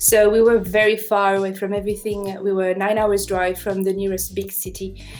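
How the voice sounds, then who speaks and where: With a French accent, a woman speaks at a moderate pace and a medium pitch, with hardly any pauses. Her intonation is flat and monotone, and music plays in the background. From France. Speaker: drone pilot. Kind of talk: casual chat.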